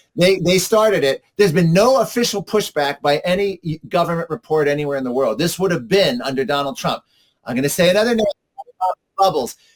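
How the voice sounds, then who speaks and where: With music in the background, a speaker with an American accent talks at a fairly quick pace with lively intonation, the sound dry and close with no echo. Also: man, high pitch for a man. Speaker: climate policy commentator. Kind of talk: interview. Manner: fast; animated.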